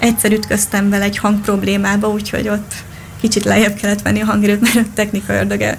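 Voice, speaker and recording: A woman speaks amid noticeable background noise and audible room echo. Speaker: darts player. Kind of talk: interview. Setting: radio studio.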